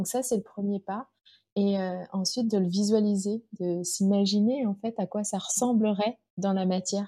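Somewhat breathy and dark, mellow in tone, a woman speaks at medium pitch with fairly even intonation and a fairly slow pace. The recording is very clean, with a silent background. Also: dry, close sound with no echo. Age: 40s. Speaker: business coach for mothers. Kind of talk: interview.

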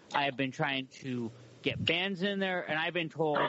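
This man has a normal speaking voice and talks at a fairly slow pace with ordinary pitch variation. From Humboldt County, California. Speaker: podcast and radio host. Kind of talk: casual interview chat.

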